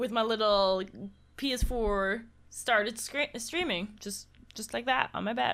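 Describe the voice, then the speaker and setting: A woman speaks at a fairly slow pace with a German accent. Her fairly high pitch shows ordinary variation. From Germany, Cologne. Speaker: video game streamer. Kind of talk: casual chat.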